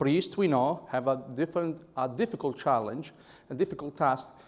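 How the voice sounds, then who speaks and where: This man's voice sits fairly high in pitch as he talks at a moderate speed. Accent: Italian. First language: Italian. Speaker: conference speaker. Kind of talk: speech.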